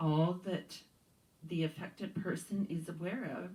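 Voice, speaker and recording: A woman speaks with a very deep, low pitch and a dark, mellow, somewhat breathy tone. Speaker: yoga teacher. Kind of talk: guided yoga practice. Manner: slow.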